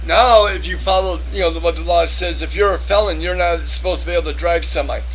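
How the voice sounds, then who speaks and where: A man's very fast speech amid noticeable background noise and audible room echo. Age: 50s. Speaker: video blogger, former truck driver. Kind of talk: casual monologue to camera. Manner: rambling, halting with self-corrections.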